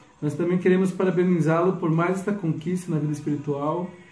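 A man speaks with a high pitch and fairly even intonation. Room echo is audible. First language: Portuguese (speaking Spanish). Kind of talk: recorded video greeting.

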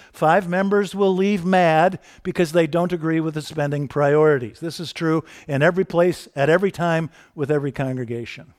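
Recorded very cleanly with a silent background and a dry, close sound with no echo, a high-pitched man talks at a moderate pace with ordinary pitch variation. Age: 60s. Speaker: pastor. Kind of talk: sermon. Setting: church.

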